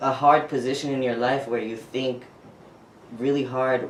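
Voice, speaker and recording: There is audible room echo and noticeable background noise as a man speaks. His pitch is medium and his pace moderate. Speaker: transgender man interviewed about his transition. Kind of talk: interview. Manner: expressive, talks with hands; hesitant, with fillers.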